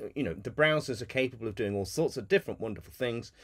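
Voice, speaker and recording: The man's intonation is lively. The background is quiet. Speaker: community call host and developer. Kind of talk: casual technical community call. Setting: video call. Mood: relaxed, amused.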